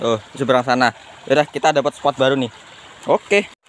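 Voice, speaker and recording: A man talks at a fairly quick pace with a fairly high pitch. The sound is dry and close with no echo, though there is noticeable background noise. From Java, Indonesia. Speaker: fishing vlogger. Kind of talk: casual vlog commentary. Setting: outdoors by a river.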